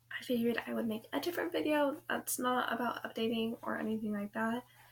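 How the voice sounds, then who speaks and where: A woman talks at a very fast pace with noticeable background noise. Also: lively intonation. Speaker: vlogger. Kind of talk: casual vlog talk. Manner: hesitant, many fillers.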